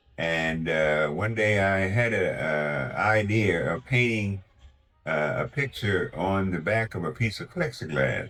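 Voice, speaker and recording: The voice moves at a fairly slow pace with lively intonation against noticeable background noise. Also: man, very deep, low pitch for a man. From Washington DC area. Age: 80s+. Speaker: retired amateur painter. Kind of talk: interview. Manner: halting.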